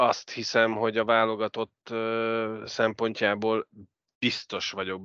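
A man talks at a fairly slow pace in a fairly low pitch. The sound is dry and close with no echo, against a quiet background. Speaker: ice hockey podcast host. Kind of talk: casual sports chat.

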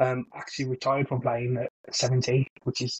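A man speaks in a monotone, flat intonation that sounds somewhat breathy. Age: 30s. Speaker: football podcast co-host. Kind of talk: casual chat.

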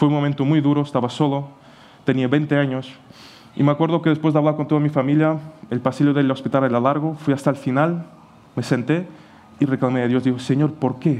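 A man's fairly high voice with a dark, mellow tone, a fairly quick pace broken by long, frequent pauses, very even loudness and monotone, flat intonation. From Portugal. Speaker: pastor. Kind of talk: sermon. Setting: church.

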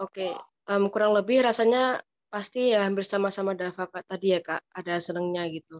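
In a plain, everyday voice, a woman talks at a fairly quick pace and medium pitch with fairly even intonation, the sound dry and close with no echo. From East Java, Ponorogo. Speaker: university student. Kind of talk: casual interview.

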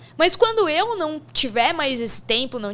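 Her pitch swinging very widely, a woman talks at a moderate speed. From Brazil, São Paulo state interior. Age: 20s. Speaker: sports betting professional. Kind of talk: casual interview.

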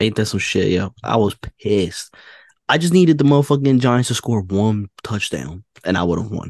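In a New York accent, a man of medium pitch talks with a dry, close sound and no echo. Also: lively intonation, moderate pace, quiet background. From New York, Queens. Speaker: podcast guest. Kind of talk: casual chat.

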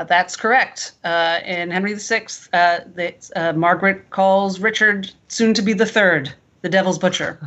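Her pitch medium and her intonation fairly even, a woman talks at a fairly slow pace. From New York City. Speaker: quizmaster and theater director. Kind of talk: quiz hosting.

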